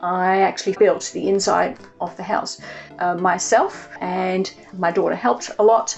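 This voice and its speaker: A woman talks fairly slowly while music plays in the background. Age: 60s. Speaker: nutritionist. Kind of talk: home tour, talk to camera.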